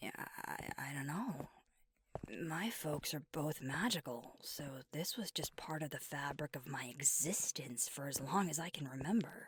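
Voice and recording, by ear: A woman speaks low in a put-on character voice. It has a husky, rough edge. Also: ordinary pitch variation, fairly slow pace.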